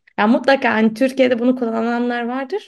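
High pitch and a fairly quick pace from a woman. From Istanbul, Turkey. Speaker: literature podcast host. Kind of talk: casual chat. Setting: remote call.

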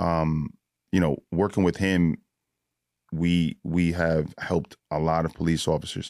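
In a New York accent, a man speaks with a very deep, low pitch and monotone, flat intonation at a fairly slow pace, his loudness very even, the sound dry and close with no echo, on a very clean recording with a silent background. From New York (Bronx, then Yonkers). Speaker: police SWAT officer. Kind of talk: casual chat. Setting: studio.

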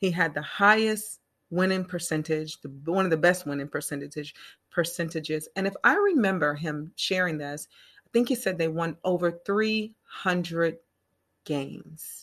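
With an American accent, a woman speaks in a plain, everyday voice, fairly low in pitch with ordinary pitch variation. She talks at a fairly slow pace against a quiet background. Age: 40s. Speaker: podcast host. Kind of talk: casual interview chat.

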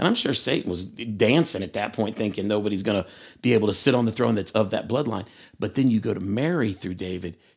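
A man with an East Tennessee accent, fairly low in pitch, ordinary pitch variation, a very fast pace, on a very clean recording with a silent background. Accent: East Tennessee Southern. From US South, Tennessee. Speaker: schoolteacher. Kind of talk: bible study discussion.

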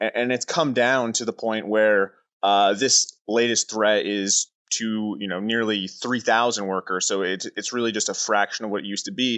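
An ordinary speaking voice, in a Canadian accent. The pace is moderate and the intonation fairly even. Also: man, fairly low pitch for a man. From Oshawa, Southern Ontario. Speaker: news reporter. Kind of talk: interview.

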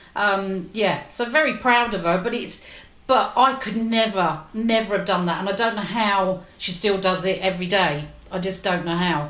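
Someone in a London accent talks at a moderate pace with ordinary pitch variation. Noticeable background noise and audible room echo surround the voice. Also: woman, medium pitch for a woman. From West London. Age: 50s. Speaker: legal professional. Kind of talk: casual chat.

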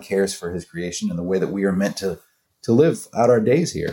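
A man talks at a moderate pace with an American accent. He has a normal speaking voice, and his pitch varies in an ordinary way. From US South, North Florida. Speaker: singer-songwriter and author. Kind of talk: interview.

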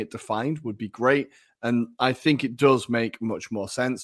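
The recording is very clean, with a silent background. A man with an English accent speaks with fairly even intonation. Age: 30s. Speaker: football podcast co-host. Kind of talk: casual chat.

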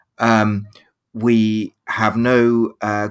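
A man speaks at a medium pitch. He has a British accent. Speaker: history professor. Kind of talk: panel discussion. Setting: video call. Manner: halting with repetitions.

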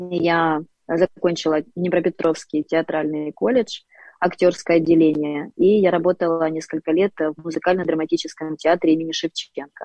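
A woman's normal speaking voice, fairly low in pitch, at a moderate pace with fairly even intonation. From Ukraine, Dnipro. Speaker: public speaking and voice coach. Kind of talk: interview and faith testimony.

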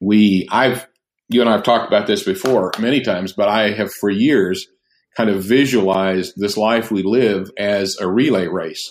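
At a moderate pace, a man with an ordinary speaking voice, fairly low pitch and fairly even intonation comes through a very clean recording with a silent background. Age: 60s. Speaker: pastor and author. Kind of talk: casual chat.

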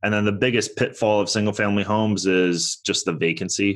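Against a quiet background, a man with an ordinary speaking voice speaks fairly quickly at a fairly low pitch. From born in Toronto, raised in US. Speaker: real estate investor. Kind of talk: interview.

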